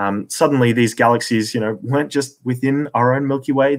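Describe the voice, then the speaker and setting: Recorded very cleanly against a silent background, a man with an Australian accent speaks at a medium pitch with ordinary pitch variation. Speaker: astronomy commentator. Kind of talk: lecture.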